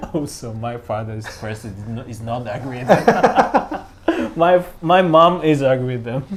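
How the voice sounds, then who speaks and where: A man with a medium pitch talks at a fairly slow pace with lively intonation and big swings in loudness. Noticeable background noise is present. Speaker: music professor and opera singer. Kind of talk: casual interview. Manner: halting.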